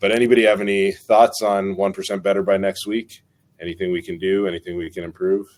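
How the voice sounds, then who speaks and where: A man's fairly low voice, very fast and flat in a monotone. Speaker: community meetup host. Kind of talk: online community meeting. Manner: filler-heavy, hesitant.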